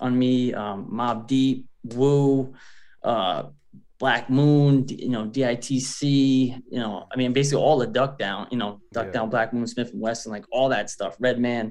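At a fairly slow pace, a man speaks with medium pitch and fairly even intonation. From US Northeast, suburb of Providence, Rhode Island. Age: 40s. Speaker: rapper. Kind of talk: interview.

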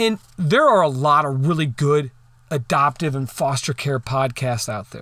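On a very clean recording with a silent background, a man speaks at a moderate pace. His fairly high voice has a bright, sharp tone and ordinary pitch variation. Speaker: podcast host. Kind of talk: casual solo podcast monologue. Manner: informal, self-deprecating, somewhat halting.

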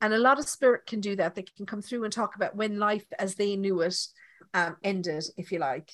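A woman talks with an Irish accent at a very fast pace. Her intonation is lively. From Ireland. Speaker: medium. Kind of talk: live mediumship demonstration. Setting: online live session.

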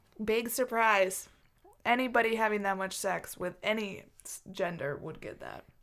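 A woman's fairly high-pitched, moderately paced delivery with ordinary pitch variation, an ordinary speaking voice. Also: big swings in loudness. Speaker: podcast host. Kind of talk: casual chat.

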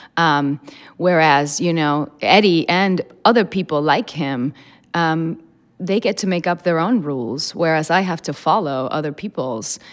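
A woman speaks in an unremarkable speaking voice with a fairly low pitch, ordinary pitch variation and a fairly slow pace. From immigrant to the US. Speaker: stage actor. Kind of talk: panel discussion.

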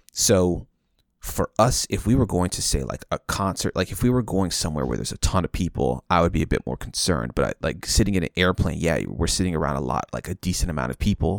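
Very fast and full of lively intonation, a man speaks in a very deep, low voice with vocal fry. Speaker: podcast host. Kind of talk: casual chat. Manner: hesitant, filler-heavy.

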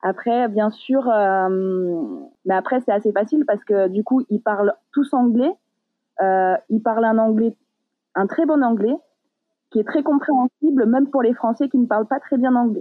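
A woman speaks fairly slowly at a fairly high pitch, with ordinary pitch variation and very even loudness. Her speech has long, frequent pauses. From Paris region, France. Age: 30s. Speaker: diving instructor. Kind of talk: interview.

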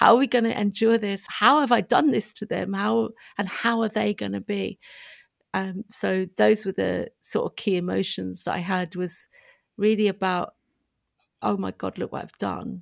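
Recorded very cleanly with a silent background, a woman talks at a moderate pace in a dry, close sound with no echo. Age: 50s. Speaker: prison reform campaigner. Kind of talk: interview.

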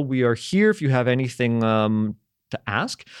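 Heard in a dry, close sound with no echo on a very clean recording with a silent background, a man uses a normal speaking voice at medium pitch with ordinary pitch variation. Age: 30s. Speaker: podcast host. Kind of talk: casual chat. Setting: studio.

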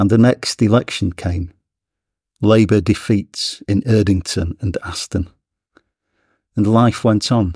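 Fairly low, dark and mellow male voice, somewhat breathy, fairly slow and fairly even, with long, frequent pauses. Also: dry, close sound with no echo, very clean recording, silent background. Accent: northern English. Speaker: poet. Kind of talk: interview discussion with poem reading.

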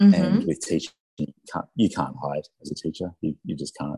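A man speaks with an Australian accent in a dry, close sound with no echo. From Australia, Sydney (north-west suburbs). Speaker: entrepreneur, company founder. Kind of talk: interview, casual conversation. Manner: hesitant, many fillers and restarts.

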